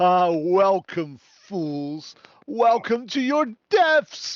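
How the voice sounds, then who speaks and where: A man puts on a character voice pitched high and speaks at a very slow pace. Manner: menacing.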